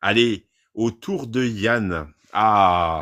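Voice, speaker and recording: On a very clean recording with a silent background, a man speaks with lively intonation at a fairly low pitch. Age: 50s. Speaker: livestream host. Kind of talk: casual chat.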